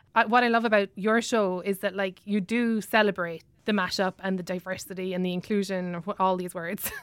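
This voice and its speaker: A woman with an Irish accent talks at a fairly quick pace with hardly any pauses, using a medium pitch and fairly even intonation. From Ireland. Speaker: comedian. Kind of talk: casual chat. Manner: fast talker.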